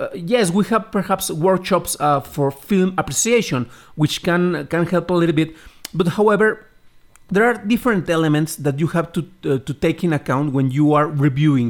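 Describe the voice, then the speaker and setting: A man with a Spanish accent talks in a high voice at a moderate pace, with ordinary pitch variation and very even loudness. The recording is very clean, with a silent background. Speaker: podcast host, film critic. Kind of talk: interview. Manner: hesitant, many repetitions.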